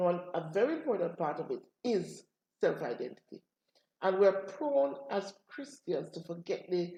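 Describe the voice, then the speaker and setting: A woman talks rather slowly, her voice somewhat breathy with a dark, mellow tone. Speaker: pastor. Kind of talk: interview questions on a talk program.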